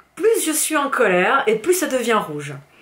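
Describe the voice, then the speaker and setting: Her pitch swings very widely. The woman talks in an animated tone. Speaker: fitness coach and youtuber. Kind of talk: angry vlog rant.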